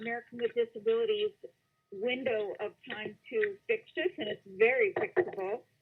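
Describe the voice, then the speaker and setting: A woman speaks in a high voice, and her pitch swings very widely. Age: 60s. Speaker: caller. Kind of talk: phone-in question to psychic. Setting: phone call.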